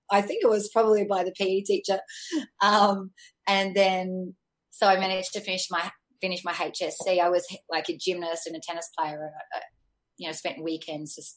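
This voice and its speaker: A woman with an Australian accent at medium pitch, moderate pace and fairly even intonation, with long, frequent pauses. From Australia, Sydney. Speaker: life coach and former fitness trainer. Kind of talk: interview conversation.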